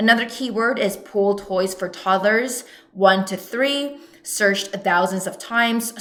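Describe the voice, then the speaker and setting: With audible room echo and noticeable background noise, a woman speaks at a fairly slow pace and medium pitch. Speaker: online business coach. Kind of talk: tutorial.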